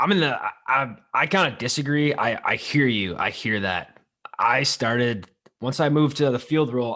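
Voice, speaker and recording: The man's voice is loud, with a bright, sharp tone and medium pitch. He keeps a moderate pace and ordinary pitch variation. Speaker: podcast co-host. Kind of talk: casual chat.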